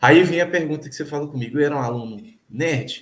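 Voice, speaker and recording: Talking at a very fast pace, the man has a fairly high pitch. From Minas Gerais, Brazil (north, near Bahia). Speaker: PhD student in physical education. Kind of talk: casual interview conversation. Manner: hesitant, repeats words.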